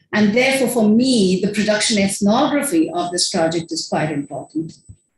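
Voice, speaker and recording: A woman speaks at a moderate pace with a medium pitch and lively intonation, and audible room echo surrounds her voice. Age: 60s. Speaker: filmmaker and academic speaker. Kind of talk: conference presentation. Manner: casual, conversational.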